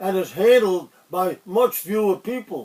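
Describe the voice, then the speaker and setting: A man talks with an American accent at a fairly slow pace. His pitch is high, with ordinary variation. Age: 80s+. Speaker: retired economics professor. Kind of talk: open letter address to camera.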